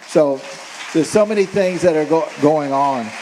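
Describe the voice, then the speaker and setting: A man speaks with a fairly high pitch. Crowd noise is heard in the background. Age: 70s. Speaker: town hall attendee. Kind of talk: public comment at town hall. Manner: halting.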